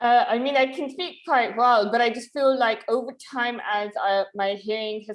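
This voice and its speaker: A woman with a strong British accent at a moderate pace. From London, England. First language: Urdu. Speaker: videocast host with hearing loss. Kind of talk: casual interview chat.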